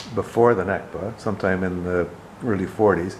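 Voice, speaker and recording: A man talks while clear background noise can be heard. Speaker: interviewer. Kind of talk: interview questions.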